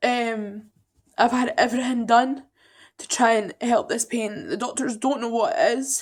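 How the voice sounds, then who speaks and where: A woman with a Scottish accent, high-pitched and tearful, at a fairly slow pace with ordinary pitch variation. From Edinburgh, Scotland. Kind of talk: personal story told to camera. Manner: emotional, upset, tearful.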